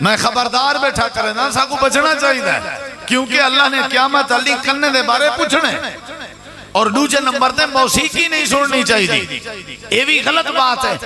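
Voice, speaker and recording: Over music in the background, a man uses a raised, projected voice at an extremely high pitch, with very even loudness and fairly even intonation. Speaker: Islamic preacher giving a sermon. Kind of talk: religious sermon (bayan) to a congregation.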